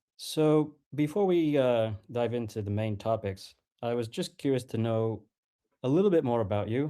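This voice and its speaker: A man speaks at a moderate pace in a medium pitch, his dark, mellow tone carried by lively intonation on a very clean recording with a silent background. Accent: American. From United States. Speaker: podcast host. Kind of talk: interview. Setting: live audio stream.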